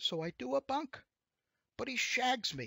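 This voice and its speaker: Putting on a whiny character voice, a man talks at a fairly slow pace, his high pitch swinging very widely. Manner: complaining, aggrieved.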